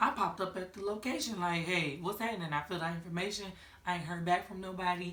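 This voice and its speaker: Talking very fast in an animated tone, a woman with a fairly low pitch comes through audible room echo and noticeable background noise. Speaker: vlogger. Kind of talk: casual vlog chat.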